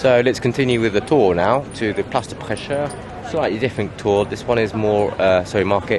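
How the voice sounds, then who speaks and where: Through noticeable background noise, a man with a fairly low voice talks at a moderate pace with ordinary pitch variation. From England. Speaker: tour guide. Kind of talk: guided walking tour. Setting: outdoors at a street market. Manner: casual, relaxed.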